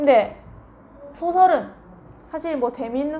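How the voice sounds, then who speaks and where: A high-pitched woman with a Gyeongsang accent over noticeable background noise. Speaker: middle school Korean language teacher. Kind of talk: lecture. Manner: conversational, asks rhetorical questions.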